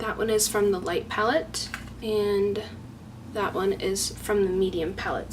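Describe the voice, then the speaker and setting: A woman at medium pitch speaks fairly slowly in a monotone, flat way, with noticeable background noise. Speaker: beauty YouTuber. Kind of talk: makeup tutorial-style product showcase.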